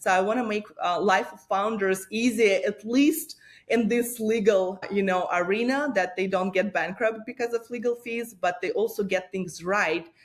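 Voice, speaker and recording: With a Russian accent, a woman of medium pitch talks with hardly any pauses. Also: ordinary pitch variation, moderate pace. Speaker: lawyer and startup founder. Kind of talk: interview.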